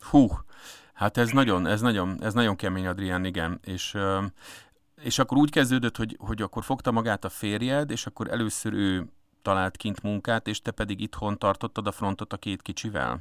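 On a very clean recording with a silent background and a dry, close sound with no echo, a man speaks at a moderate pace in a fairly low pitch with ordinary pitch variation. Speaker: radio host. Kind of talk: interview. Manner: hesitant, many fillers.

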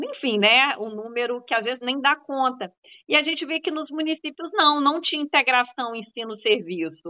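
Her voice is high-pitched. The woman's intonation rises and falls in a lively way. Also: moderate pace. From Zona da Mata, Minas Gerais. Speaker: health researcher and professor. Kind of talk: panel discussion.

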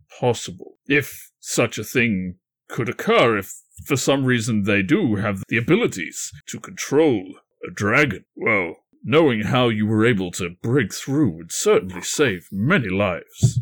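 A man speaks at medium pitch in a put-on character voice. The recording is very clean, with a silent background. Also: moderate pace. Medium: actual play. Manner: boisterous, hearty, blunt.

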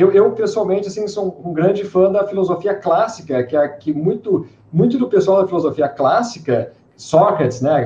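With a southern Brazilian accent, a man speaks in a high pitch and a dark, mellow tone, his intonation lively. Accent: gaúcho Brazilian Portuguese. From southern Brazil, Porto Alegre. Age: young. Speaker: podcast co-host. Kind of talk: casual chat. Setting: video call.

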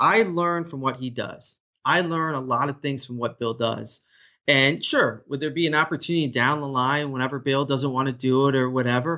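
An unremarkable speaking voice, this man talks in an American accent at a fairly quick pace, with a fairly high pitch and ordinary pitch variation. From Florida, Orlando. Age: 40s. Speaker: play-by-play broadcaster. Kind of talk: interview.

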